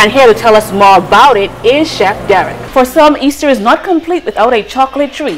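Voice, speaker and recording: A woman talks at a fairly quick pace with a fairly high pitch and very wide pitch swings. Noticeable background noise can be heard. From Bahamas. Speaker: news reporter. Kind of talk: TV news report.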